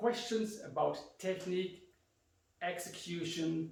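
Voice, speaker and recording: Amid audible room echo, a man with a German accent speaks very slowly at a high pitch with ordinary pitch variation. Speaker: karate instructor. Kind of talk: instructional talk.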